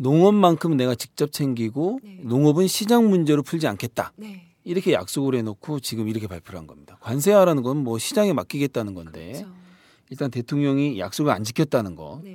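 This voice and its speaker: With a dark, mellow tone and medium pitch, a man talks at a fairly quick pace with very wide pitch swings in a dry, close sound with no echo. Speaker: podcast host. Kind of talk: casual chat. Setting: studio.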